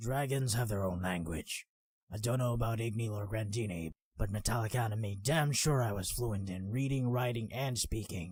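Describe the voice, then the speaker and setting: Using a put-on character voice, a man speaks gruffly and with a rumble at a medium pitch and a moderate pace. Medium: read story. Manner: gruff, blunt, grumbling.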